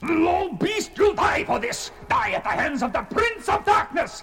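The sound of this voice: A man shouts in a raised, put-on character voice at an extremely high pitch with big pitch swings. Faint music plays in the background. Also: fairly slow pace, fairly bright tone.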